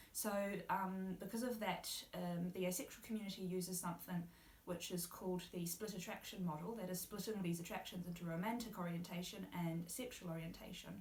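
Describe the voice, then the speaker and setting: A woman with a New Zealand accent talks at a fairly quick pace, somewhat breathy, at a medium pitch. Her intonation is fairly even, and audible room echo surrounds her. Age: 20s. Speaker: university student, guest speaker. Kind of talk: interview.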